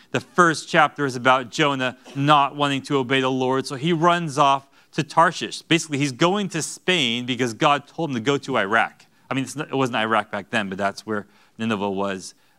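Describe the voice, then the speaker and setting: A man with a bright, sharp tone at a fairly quick pace over a quiet background. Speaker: Bible teacher. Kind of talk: sermon. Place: church. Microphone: lapel.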